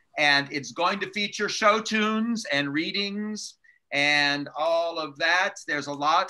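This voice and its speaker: The man's tone is bright and sharp. He talks at a fairly slow pace with ordinary pitch variation. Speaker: church leader hosting the meeting. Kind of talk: casual announcements. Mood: upbeat, laughing. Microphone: video call.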